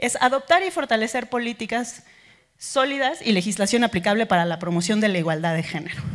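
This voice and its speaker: Over a quiet background, a woman talks at a fairly quick pace. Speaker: conference speaker. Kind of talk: lecture. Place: hall. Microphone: handheld.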